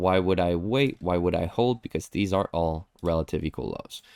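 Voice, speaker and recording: A man's very deep, low voice with a non-native accent, at a moderate pace with ordinary pitch variation, in a very clean recording with a silent background and a dry, close sound with no echo. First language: not English. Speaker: trading educator. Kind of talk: live stream chart review. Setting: live stream with chat. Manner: casual, conversational.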